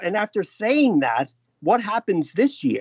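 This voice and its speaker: This man talks at a fairly slow pace. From USA. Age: 60s. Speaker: long-distance walker. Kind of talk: interview.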